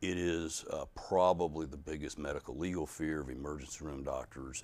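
Speaking at a moderate pace, a man with a very deep, low pitch uses vocal fry and fairly even intonation. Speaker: neurosurgeon. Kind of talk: interview, medical explanation.

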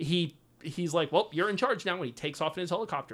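In a very clean recording with a silent background, a man uses an ordinary speaking voice at a fairly quick pace. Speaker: podcast host. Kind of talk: casual chat about video games.

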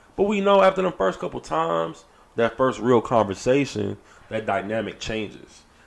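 At a medium pitch, a man talks at a moderate pace with very wide pitch swings. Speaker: podcast co-host. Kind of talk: casual chat. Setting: studio.

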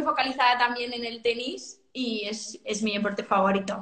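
A woman talks at a fairly slow pace in a fairly high voice. Her intonation is monotone and flat. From Catalonia, Spain (Sant Cugat). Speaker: fashion brand co-founder. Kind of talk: interview. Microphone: echo in room.

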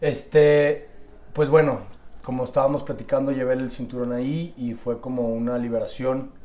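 In a Mexican accent, the voice moves at a moderate pace with monotone, flat intonation and audible room echo. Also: man, medium pitch for a man. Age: 30s. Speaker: amateur boxer. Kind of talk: casual interview.

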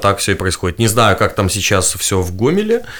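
A man talks in a normal speaking voice. His pitch is fairly low, with ordinary pitch variation. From Belarus, Gomel. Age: 20s. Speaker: political activist and blogger. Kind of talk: interview testimony.

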